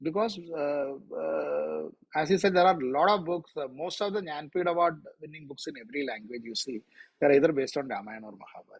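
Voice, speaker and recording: Rattling along at a very fast pace, a man with a fairly high pitch uses lively intonation and big swings in loudness. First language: Malayalam. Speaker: author. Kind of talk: interview.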